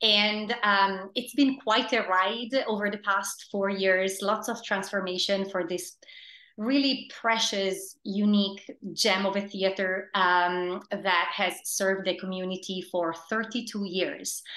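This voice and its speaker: Against a quiet background, a woman with an Italian accent speaks very slowly at medium pitch, her tone bright and sharp and her intonation fairly even. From Italy. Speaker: theater producing director. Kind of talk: interview. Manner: hesitant, many fillers.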